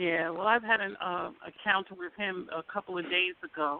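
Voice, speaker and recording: With an American accent, a woman speaks at a medium pitch and a moderate pace, her pitch varying in an ordinary way. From New York. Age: 60s. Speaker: author and historian. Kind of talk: call-in radio discussion.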